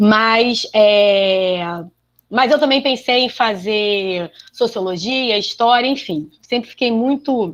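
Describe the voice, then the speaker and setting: A woman's fairly high voice moves very slowly, its pitch varying in an ordinary way. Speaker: biology teacher. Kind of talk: panel talk.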